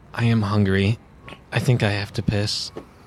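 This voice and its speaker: In a put-on character voice, a man speaks with a fairly low pitch, monotone, flat intonation, and a moderate pace. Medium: actual play.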